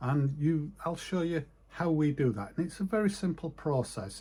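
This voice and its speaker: A man speaks with a northern English accent. His pace is moderate. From northern England, east coast. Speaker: retired sign writer. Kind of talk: casual vlog monologue. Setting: home office. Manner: halting.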